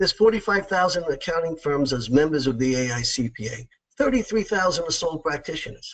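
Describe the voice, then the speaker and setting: Here is a man with a New York accent and a fairly high pitch. He talks at a fairly quick pace with lively intonation. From New York, Long Island. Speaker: accounting practice succession consultant. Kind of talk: webinar presentation. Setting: webinar, remote presentation.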